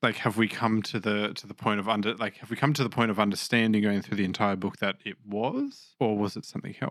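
Speaking with an Australian accent, a man talks at a very fast pace with hardly any pauses, a fairly low pitch and monotone, flat intonation in a very clean recording with a silent background. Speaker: Bible podcast host. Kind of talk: casual chat.

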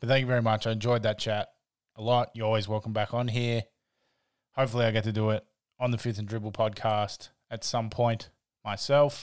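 A man with an Australian accent at a fairly quick pace, monotone and flat, with long, frequent pauses, on a very clean recording with a silent background. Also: medium pitch for a man. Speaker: podcast host. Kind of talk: casual podcast chat.

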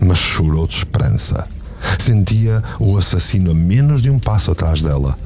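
With a European Portuguese accent, the speaker uses an intense, theatrical tone and lively intonation at a fairly slow pace over noticeable background noise. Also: man. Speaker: podcast narrator and producer. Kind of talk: dramatic narration of a novel, with dialogue in character voices. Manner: intense, gripping, theatrical storytelling.

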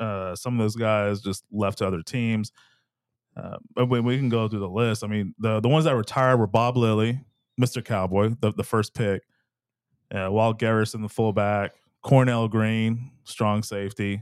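An American man with a medium pitch and an ordinary speaking voice talks at a moderate pace with fairly even intonation, in a dry, close sound with no echo. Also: very clean recording, silent background. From Texas. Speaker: sports podcast co-host. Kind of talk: casual chat.

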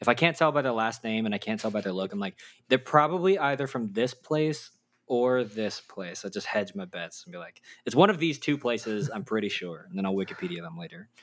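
With a Texan accent, a man talks at a fairly quick pace, his pitch swinging very widely and his loudness shifting in big swings, on a very clean recording with a silent background. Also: medium pitch for a man. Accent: Texan American English. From Texas. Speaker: podcast co-host, interviewed this episode. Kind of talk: casual interview conversation.

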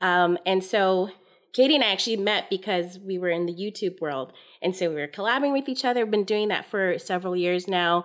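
A woman with an American accent talks at a fairly quick pace in a normal speaking voice, with medium pitch and ordinary pitch variation. The recording is very clean with a silent background.

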